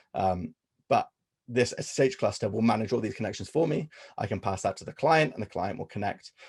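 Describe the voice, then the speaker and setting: Talking at a very fast pace, a man with a fairly low pitch, ordinary pitch variation and a somewhat breathy voice is heard in a dry, close sound with no echo over a quiet background. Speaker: workshop presenter. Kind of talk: technical workshop presentation. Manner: hesitant with many fillers.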